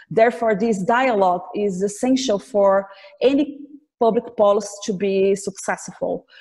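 A woman with a Portuguese accent, medium pitch, ordinary pitch variation and a moderate pace, over a quiet background. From Brazil. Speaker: government official and law professor; law professor. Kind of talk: formal interview. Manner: halting, many fillers. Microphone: video call.

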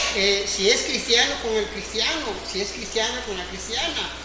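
Loud background noise and audible room echo surround a man speaking at a moderate pace. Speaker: preacher. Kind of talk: sermon. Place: church. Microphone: camera far.

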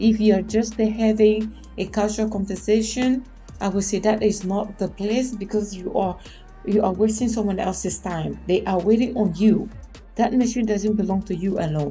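A woman speaks at a moderate pace with fairly even intonation, faint music playing in the background. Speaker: vlogger. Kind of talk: casual vlog chat. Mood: mildly annoyed, opinionated. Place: home room. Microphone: studio mic.

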